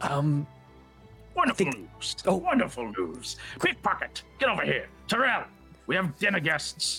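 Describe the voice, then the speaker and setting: With faint music in the background, a man does a put-on character voice at a fairly high pitch, moving at a fairly slow pace with long, frequent pauses. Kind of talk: pirate-style comic captain voice. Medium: actual play. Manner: hearty, booming, teasingly gruff then warm.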